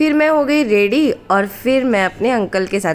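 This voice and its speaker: Noticeable background noise accompanies a woman talking very slowly. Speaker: travel vlogger. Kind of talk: travel vlog narration.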